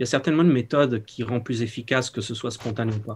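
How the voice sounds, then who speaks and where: Over light background noise, a man sounds somewhat breathy, with ordinary pitch variation. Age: 40s. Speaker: participant, former manager. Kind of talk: casual chat. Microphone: video call.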